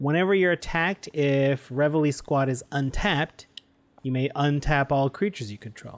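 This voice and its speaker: An ordinary speaking voice moves at a moderate pace with ordinary pitch variation. The sound is dry and close, without echo. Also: man. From Canada. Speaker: podcast co-host. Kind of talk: casual chat.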